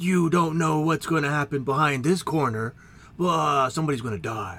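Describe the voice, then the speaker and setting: Using a put-on character voice, a man talks at a moderate pace with a fairly high pitch. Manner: dramatic announcer delivery.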